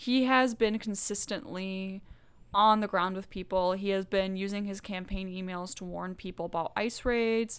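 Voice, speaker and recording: A woman's plain, everyday voice, in an American accent at a moderate pace with fairly even intonation, on a very clean recording with a silent background. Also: medium pitch for a woman. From US South (Georgia). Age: 20s. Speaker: podcast co-host. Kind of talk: casual chat.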